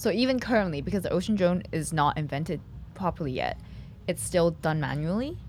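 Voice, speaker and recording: Lively intonation and vocal fry mark this woman's fairly low-pitched voice, which moves at a fairly quick pace. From Hong Kong. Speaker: podcast host. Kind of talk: interview. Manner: animated.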